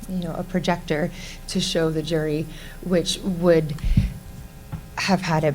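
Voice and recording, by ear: A soft-spoken woman at a fairly slow pace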